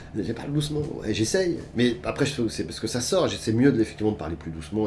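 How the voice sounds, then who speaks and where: Over noticeable background noise, a man with a fairly low pitch speaks with very wide pitch swings. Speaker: actor. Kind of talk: interview. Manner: loud.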